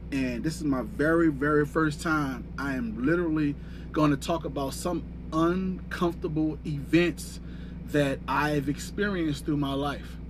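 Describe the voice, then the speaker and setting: A man's voice with audible room echo. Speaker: fitness and life coach. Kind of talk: livestream monologue. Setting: livestream. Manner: stuttering.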